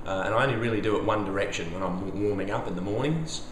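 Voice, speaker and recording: A man with an Australian accent at a fairly quick pace, with audible room echo and noticeable background noise. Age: 50s. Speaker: flexibility coach. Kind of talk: tutorial. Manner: casual.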